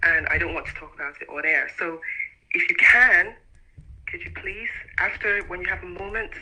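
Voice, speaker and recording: Speech moves at a moderate pace with long, frequent pauses. Noticeable background noise runs underneath. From Nigeria, Abia State (Umuahia). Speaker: caller. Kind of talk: radio phone-in call. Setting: phone call. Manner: hesitant.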